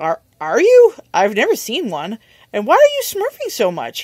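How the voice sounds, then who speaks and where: In a put-on character voice with fairly high pitch, the speaker goes at a moderate pace, the sound dry and close with no echo. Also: female-sounding voice. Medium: read story.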